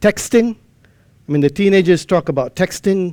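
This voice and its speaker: A man speaks at a moderate pace with a non-native accent and ordinary pitch variation. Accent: non-native English, trouble pronouncing R. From Malaysia. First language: not English. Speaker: amateur radio lecturer. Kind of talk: conference lecture.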